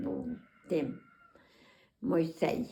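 This woman speaks very slowly with a western Ukrainian accent. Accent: western Ukrainian rural dialect. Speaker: dialect informant. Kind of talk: dialect interview answer.

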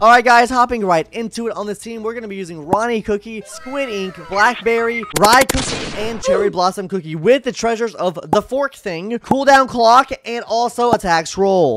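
A man speaks at a high pitch and a moderate pace, with hardly any pauses, ordinary pitch variation and big swings in loudness. The sound is dry with no echo, with light background noise. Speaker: gaming content creator. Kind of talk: casual gaming tutorial. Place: home room. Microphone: studio mic.

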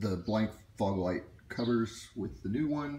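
With light background noise and audible room echo, a man talks at a fairly slow pace in a somewhat breathy voice. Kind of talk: tutorial. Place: garage. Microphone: phone near.

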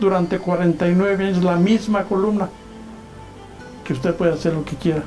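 Faint music plays as a man with a Mexican accent speaks at a high pitch, his intonation fairly even, with long, frequent pauses. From Michoacán, Mexico. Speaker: journalist. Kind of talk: reading aloud a resignation letter. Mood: reflective, proud. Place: home room.

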